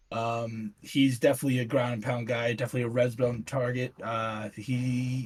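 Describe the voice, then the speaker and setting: Speaking at a moderate pace with hardly any pauses, a man with a medium-pitched, somewhat breathy voice keeps a monotone, flat intonation. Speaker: podcast host. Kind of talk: casual chat.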